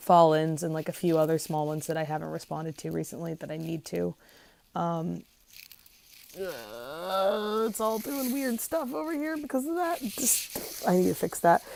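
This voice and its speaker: Quiet speech at a moderate pace, with pitch that swings very widely. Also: woman, fairly low pitch for a woman. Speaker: vlogger. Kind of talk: casual video diary.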